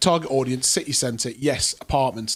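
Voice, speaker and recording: In a Geordie accent, a man speaks at a fairly quick pace and medium pitch with ordinary pitch variation. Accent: Geordie (Newcastle) English. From northern England, Newcastle. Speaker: property investor and show host. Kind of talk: casual chat. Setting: studio.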